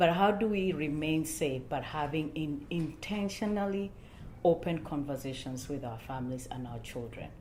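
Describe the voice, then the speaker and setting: A woman with a Kenyan accent speaks in a very deep, low voice at a moderate pace, her intonation lively. Her loudness swings widely, and room echo is audible. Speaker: church panel speaker. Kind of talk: panel discussion.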